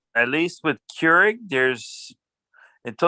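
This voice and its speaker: A man's high, bright, sharp voice with an American accent at a moderate pace. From Miami, Florida. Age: 60s. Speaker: class participant. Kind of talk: casual discussion.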